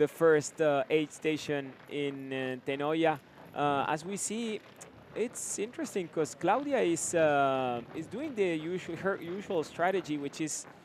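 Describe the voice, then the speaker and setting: Speaking with an Argentine accent, a man talks at a fairly slow pace in a fairly high pitch, with ordinary pitch variation. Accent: Argentinian Spanish accent in English. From Argentina. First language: Spanish. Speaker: live race commentator. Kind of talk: live commentary. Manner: halting, many fillers.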